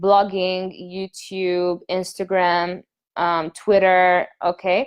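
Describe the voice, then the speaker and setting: A woman's medium-pitched voice with an animated tone. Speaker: online business coach. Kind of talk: live webinar class. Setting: live video stream. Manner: animated, casual.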